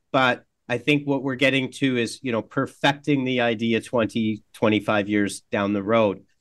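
A man with a Canadian accent has a normal speaking voice at a medium pitch. He talks at a fairly slow pace with fairly even intonation and hardly any pauses. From Canada. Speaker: tech company CEO. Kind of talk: interview.

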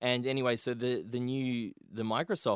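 A man speaks at a moderate pace with an Australian accent. The recording is very clean and silent behind him, with a dry, close sound and no echo. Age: 20s. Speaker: podcast host. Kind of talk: casual chat.

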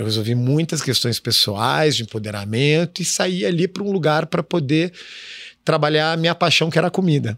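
In a very clean, dry, close recording with no echo and a silent background, a man with a normal speaking voice and fairly high pitch talks at a fairly quick pace with lively intonation. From southern Brazil, Curitiba. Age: 40s. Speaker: chef and social entrepreneur. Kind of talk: interview.

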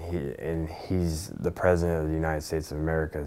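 With audible room echo, a man with a very deep, low pitch speaks at a fairly quick pace in a monotone, flat way. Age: 20s. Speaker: former neo-Nazi. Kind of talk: interview.

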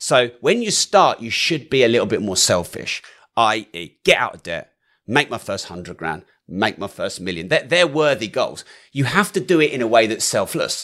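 A bright, sharp voice with vocal fry, big swings in loudness and very wide pitch swings, captured in a very clean recording against a silent background. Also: man, medium pitch for a man, moderate pace. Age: 40s. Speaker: entrepreneur and property investor. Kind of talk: interview conversation. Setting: studio.

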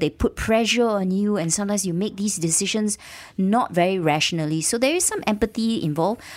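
With lively intonation, a woman with an ordinary speaking voice talks at a medium pitch. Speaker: radio co-host. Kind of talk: news roundup discussion. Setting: radio studio.

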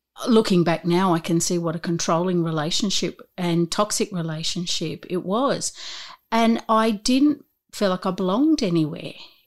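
At a moderate pace, a woman with a medium pitch speaks with lively intonation in a very clean recording with a silent background. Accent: Australian. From Newcastle, Australia. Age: 50s. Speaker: corporate trainer and coach. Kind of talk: casual interview chat.

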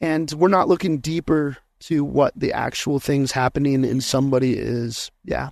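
A man with an American accent has an unremarkable speaking voice, fairly high in pitch with ordinary variation. He goes at a moderate pace, and the sound is dry and close with no echo. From Colorado, US. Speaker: pastor and trauma-informed coach. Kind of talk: interview conversation.

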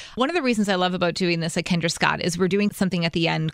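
Through noticeable background noise, a woman speaks at a fairly low pitch with fairly even intonation. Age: 40s. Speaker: fashion stylist and blogger. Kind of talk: casual chat.

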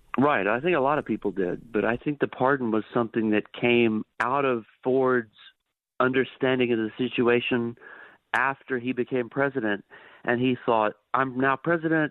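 A man at a medium pitch and moderate pace, an ordinary speaking voice with very even loudness. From Texas (Dallas area). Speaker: history professor. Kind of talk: radio interview. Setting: phone call.

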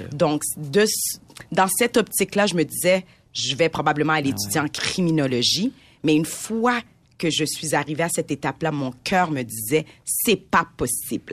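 On a very clean recording with a silent background, a woman speaks in a very deep, low pitch with lively intonation. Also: moderate pace. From Montreal, Quebec (Haitian parents). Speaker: entrepreneur. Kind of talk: casual chat.

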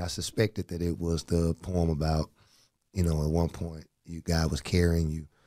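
A man talks in a very deep, low pitch with a dark, mellow tone. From US South, Birmingham, Alabama. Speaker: public sector advocate, mentor. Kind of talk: casual interview chat.

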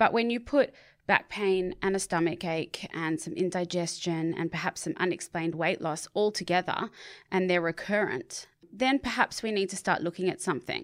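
A woman with an Australian accent speaks at a moderate pace and medium pitch, with ordinary pitch variation, on a very clean recording with a silent background. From Sydney, Australia (eastern suburbs). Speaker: charity advocate. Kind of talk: interview.

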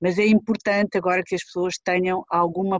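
At a moderate pace, a woman speaks at medium pitch in a monotone, flat intonation. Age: 50s. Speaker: pediatric infectious disease doctor. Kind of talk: interview.

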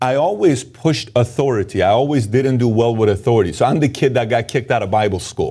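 Talking very fast with hardly any pauses, a man sounds animated and somewhat breathy, his medium pitch showing ordinary variation. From Iran. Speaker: entrepreneur. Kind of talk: interview.

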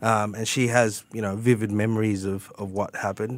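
With a strong Australian accent, a man speaks at a moderate pace with fairly even intonation, recorded very cleanly over a silent background. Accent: broad Australian. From Sydney, Australia. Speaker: tax advisor. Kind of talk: radio interview.

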